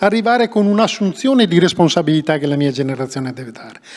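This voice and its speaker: The voice belongs to a man speaking at a high pitch. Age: 60s. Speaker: engineer, director of an environmental agency. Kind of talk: public talk to students.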